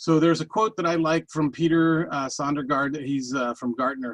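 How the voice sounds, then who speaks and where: The sound is dry and close, with no echo. A man talks at a fairly quick pace, and his pitch varies in an ordinary way. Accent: New York. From New York. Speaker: data industry executive. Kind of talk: webinar presentation. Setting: online webinar. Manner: fast; halting, many fillers and restarts.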